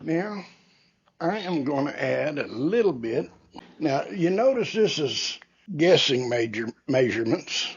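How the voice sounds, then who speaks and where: This man speaks at a fairly slow pace with long, frequent pauses. His fairly high voice swings very widely in pitch. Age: 70s. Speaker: barbecue cooking youtuber. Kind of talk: cooking tutorial. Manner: casual, unhurried.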